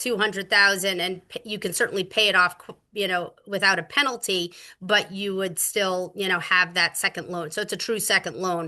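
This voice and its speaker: Against a quiet background, a woman speaks in a bright, sharp tone. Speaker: real estate agent and presenter. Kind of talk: Q&A on a webinar. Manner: fast.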